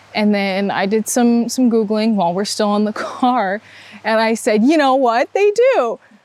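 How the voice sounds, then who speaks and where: Against noticeable background noise, a woman with an American accent speaks at a moderate pace in a high pitch. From Upper Peninsula of Michigan (Manistique). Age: 20s. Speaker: college student athlete. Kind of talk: interview.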